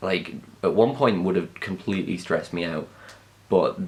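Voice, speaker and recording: Here is a man with a Geordie accent. His pitch is very deep and low. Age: young. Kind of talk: casual talk to camera. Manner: rambling, hesitant.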